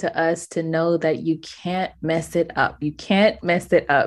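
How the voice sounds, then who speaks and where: A woman speaks in a monotone. Her intonation stays flat throughout. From Bahamas. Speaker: author and communication coach. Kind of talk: interview.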